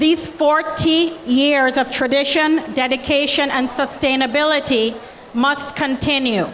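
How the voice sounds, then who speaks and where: Delivered in a Jamaican accent at a fairly slow pace and very even loudness, the speech carries audible room echo and noticeable background noise. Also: woman, high pitch for a woman. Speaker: college president. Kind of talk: welcome speech. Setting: stage with audience. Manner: animated.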